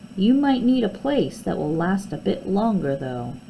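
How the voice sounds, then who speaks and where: Putting on a character voice, a woman speaks at medium pitch in a warm tone with very wide pitch swings. Clear background noise runs under her voice. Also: moderate pace. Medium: read story. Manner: warm, kindly.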